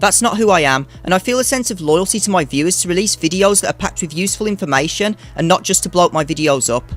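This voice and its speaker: Speech races at a very fast pace with hardly any pauses. Music plays in the background. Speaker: gaming YouTuber. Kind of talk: channel update talk to camera.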